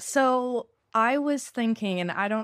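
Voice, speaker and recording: A woman's voice in a Canadian accent, with ordinary pitch variation, on a very clean recording with a silent background. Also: dry, close sound with no echo. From Canada. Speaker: podcast host. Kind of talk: casual chat.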